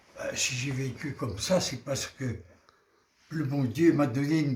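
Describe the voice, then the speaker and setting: A man of medium pitch talks at a very slow pace. His voice is somewhat breathy, with ordinary pitch variation. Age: 80s+. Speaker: interviewee, centenarian. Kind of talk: interview answer.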